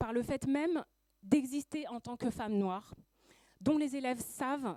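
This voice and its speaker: Recorded with a dry, close sound and no echo, a woman speaks in a high, dark, mellow voice with lively intonation. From Paris suburbs, France. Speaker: school education counselor and activist. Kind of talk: prepared speech.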